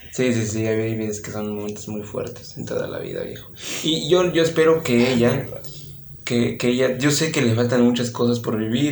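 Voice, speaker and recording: Noticeable background noise and audible room echo fill the recording. The speech moves at a moderate pace. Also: man. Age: young. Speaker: podcast host. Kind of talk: casual chat.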